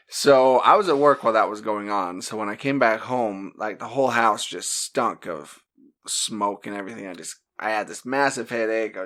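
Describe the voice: A man with a Utah accent speaks at a medium pitch and moderate pace, his tone bright and sharp with ordinary pitch variation. His loudness swings widely, and the recording is very clean with a silent background.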